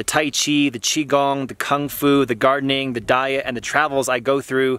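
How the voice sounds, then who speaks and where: A man at a moderate pace, monotone and flat in intonation, in a dry sound with no echo. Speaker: martial arts teacher, vlogger. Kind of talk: casual vlog chat. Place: open country. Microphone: phone near.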